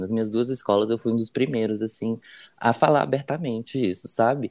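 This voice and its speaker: A man speaks in a dark, mellow tone. His pace is fairly quick. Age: 20s. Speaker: student and podcast co-creator. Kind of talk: casual chat. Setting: remote call from home.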